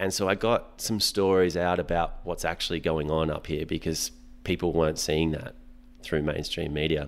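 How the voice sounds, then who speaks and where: Speaking with an Australian accent, a man with a very deep, low pitch keeps a moderate pace and fairly even intonation. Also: very clean recording, silent background. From Western Sydney, Australia. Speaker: breathwork instructor. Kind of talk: casual chat.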